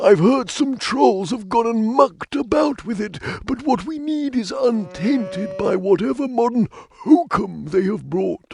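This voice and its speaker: A man's put-on character voice, high-pitched, at a moderate pace with hardly any pauses. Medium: video game. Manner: folksy, rambling.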